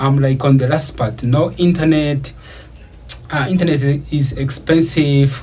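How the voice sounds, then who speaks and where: A man speaking at a fairly slow pace amid noticeable background noise and audible room echo. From Uganda. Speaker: YouTuber. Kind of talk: personal story monologue. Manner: casual, many filler words.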